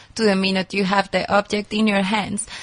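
A woman with a non-native accent talks at a medium pitch in a somewhat breathy voice. Her intonation stays monotone and flat. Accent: noticeable foreign. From Colombia. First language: Spanish. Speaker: anthropologist and consultant. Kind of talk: interview. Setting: studio.

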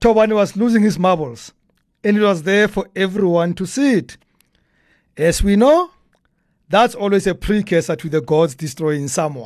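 In a South African accent, the man's high-pitched voice carries an animated tone and lively intonation at a moderate pace. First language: a South African language, not English. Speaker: podcast host. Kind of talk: humorous commentary.

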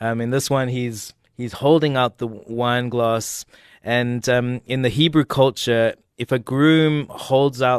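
An ordinary speaking voice from a man, medium-pitched with fairly even intonation and a fairly slow pace, in a dry, close sound with no echo and a quiet background. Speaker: artist and minister. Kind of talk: casual radio interview. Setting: radio studio.

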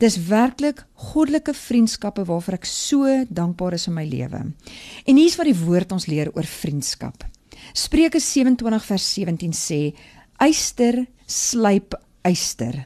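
A woman's medium-pitched voice with very wide pitch swings and a dark, mellow tone, over a quiet background. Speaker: devotional speaker. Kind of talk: morning devotional talk. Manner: halting, many fillers.

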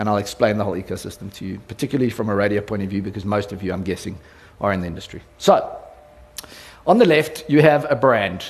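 A man with a South African accent speaks very fast, his loudness swinging widely, with audible room echo. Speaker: radio company executive. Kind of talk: conference talk. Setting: stage with audience. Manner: animated.

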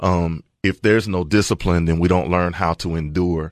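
Recorded with a dry, close sound, no echo and a quiet background, a man with a Tennessee accent speaks fairly slowly in a very deep, low pitch. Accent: Tennessee Southern US. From Middle Tennessee, rural area near Murfreesboro. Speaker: pastor. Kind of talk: casual chat. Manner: halting, many fillers.

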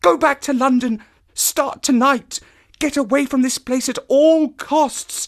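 A man puts on a character voice at an extremely high pitch, speaking slowly with fairly even intonation in a very clean recording with a silent background.

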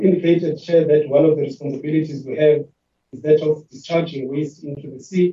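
A man's somewhat breathy, fairly quick speech, monotone and flat in intonation, with big swings in loudness. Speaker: water board chief executive. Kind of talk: formal committee presentation. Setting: virtual meeting. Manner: formal.

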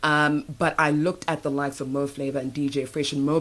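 A woman's very deep, low voice at a moderate pace. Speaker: radio host. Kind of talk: interview. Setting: studio.

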